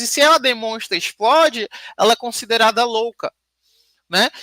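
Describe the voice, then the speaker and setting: The tone is bright and sharp. Sound is dry and close, without echo. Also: woman. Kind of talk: panel talk / lecture conversation. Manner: uneven loudness, sometimes quiet sometimes very loud.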